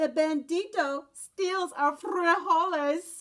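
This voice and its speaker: Using a put-on character voice, a woman speaks at an extremely high pitch and a very slow pace with fairly even intonation. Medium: read story. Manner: casual, slangy.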